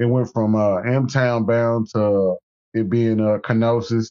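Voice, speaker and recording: A man speaks at a fairly slow pace, pitched in the medium range. He has an unremarkable speaking voice. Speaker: rapper. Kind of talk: casual chat. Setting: phone call.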